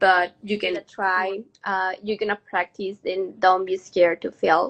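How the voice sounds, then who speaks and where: This voice comes with a Mexican accent and a bright, sharp tone. The intonation is flat and monotone. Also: woman. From Mexico. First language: Spanish. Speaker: hotel manager. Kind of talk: interview.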